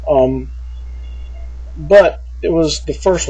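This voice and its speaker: A man is speaking. He has a Southern US accent. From US South, small town. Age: 40s. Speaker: vlogger. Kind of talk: personal vlog. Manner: halting, many fillers.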